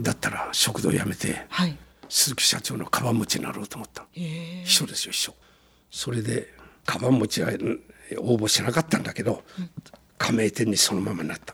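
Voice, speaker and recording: With lively intonation and a fairly quick pace, a man talks through noticeable background noise. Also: medium pitch for a man. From Gunma, Japan (Shibukawa, Akagi). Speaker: company founder. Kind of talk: interview. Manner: animated.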